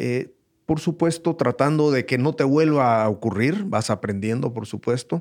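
On a very clean recording with a silent background, a man of medium pitch uses lively intonation at a fairly slow pace. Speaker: host's father, entrepreneur. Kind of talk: casual chat. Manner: halting, many repetitions.

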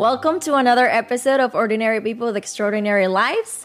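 The speech moves at a very fast pace. Noticeable background noise can be heard. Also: woman. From Dominican Republic. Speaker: podcast host. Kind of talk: scripted podcast intro; interview.

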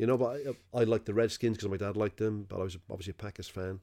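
Dark and mellow in tone, a man with a Welsh accent is heard in a very clean recording with a silent background. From Wales. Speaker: sports podcast co-host. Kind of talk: casual chat.

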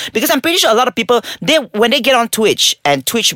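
A man speaks at a very fast pace in an animated tone, captured with a dry, close sound with no echo. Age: 30s. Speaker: live-action gamer, Twitch streamer and marketing firm owner. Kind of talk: casual chat, podcast interview. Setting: studio. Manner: animated, joking.

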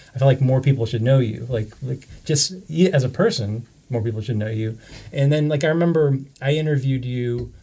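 His voice is somewhat breathy, with a dark, mellow tone at a medium pitch. This man speaks at a fairly quick pace. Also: ordinary pitch variation. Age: 70s. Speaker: documentary filmmaker, co-interviewer. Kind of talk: casual chat.

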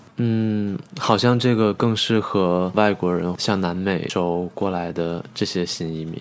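The speech moves at a fairly slow pace with fairly even intonation. Noticeable background noise sits underneath. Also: man. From China. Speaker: university student. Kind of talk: casual chat.

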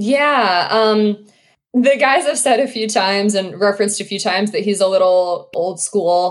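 A woman with an American accent, medium pitch, ordinary pitch variation and a moderate pace. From US South, Georgia. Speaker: sports beat writer. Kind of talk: podcast interview. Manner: hesitant, many fillers.

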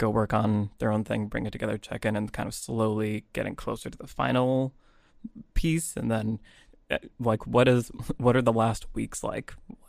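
A man's normal speaking voice at medium pitch, with fairly even intonation and a moderate pace. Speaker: podcast host. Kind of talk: casual interview conversation.

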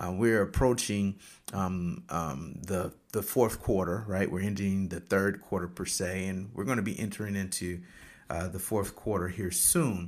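Speaking at a moderate pace with fairly even intonation, a man with an American accent has an ordinary speaking voice that sits fairly low in pitch. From Michigan. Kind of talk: casual solo talk with motivational teaching. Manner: conversational with frequent fillers.

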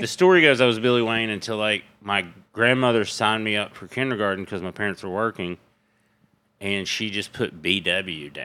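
On a very clean recording with a silent background, a man with a fairly low pitch and a bright, sharp tone speaks at a moderate pace with ordinary pitch variation. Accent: Tennessee. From East Tennessee. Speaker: stand-up comedian. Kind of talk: casual chat.

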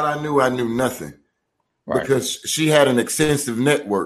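A man's fairly slow speech with a Southern US accent and fairly even intonation. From rural US South. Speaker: podcast co-host. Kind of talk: casual chat.

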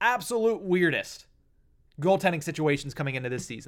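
An animated man with a high pitch and lively intonation speaks at a fairly quick pace on a very clean recording with a silent background. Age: 20s. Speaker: hockey podcast host. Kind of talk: sports podcast monologue.

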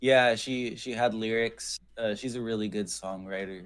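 The recording is very clean, with a silent background behind a man's voice. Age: 20s. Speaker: folk punk musician. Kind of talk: casual chat.

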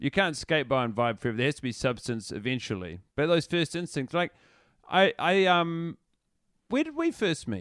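Speaking with a New Zealand accent, a man with a fairly high voice moves at a moderate pace through very wide pitch swings, the sound dry and close with no echo against a quiet background. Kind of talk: casual chat. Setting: video call.

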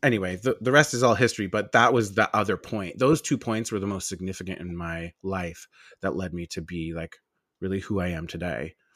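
A man's very deep, low voice with an American accent, fairly quick, with ordinary pitch variation, in a very clean recording with a silent background and a dry, close sound with no echo. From Long Island, New York. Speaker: esthetician and skincare business owner. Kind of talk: casual interview chat.

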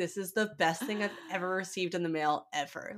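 A shrill, put-on character voice that sounds female talks at a fairly quick pace in a medium pitch for a woman. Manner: screeching with joy.

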